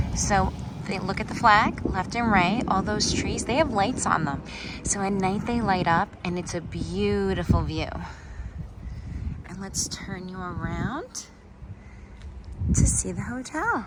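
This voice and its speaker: A woman speaks at a fairly slow pace with long, frequent pauses, her voice carrying audible room echo over noticeable background noise. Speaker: travel vlogger. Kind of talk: casual vlog narration. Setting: walking outdoors and around a hotel. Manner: whispering.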